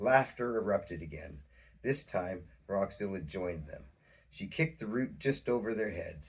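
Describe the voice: The clip is plain reading aloud. It is simply read from a text.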